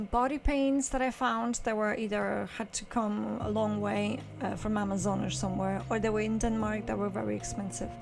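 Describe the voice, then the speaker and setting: A woman speaks with audible room echo and music in the background. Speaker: photographer. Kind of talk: casual vlog explanation. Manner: slow; halting, many fillers.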